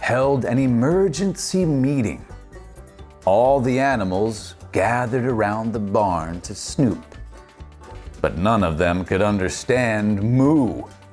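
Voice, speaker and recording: With music in the background, a man speaks at a very slow pace in a medium pitch, using lively intonation and an upbeat, playful tone. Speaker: voice actor. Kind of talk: children's storybook read-aloud.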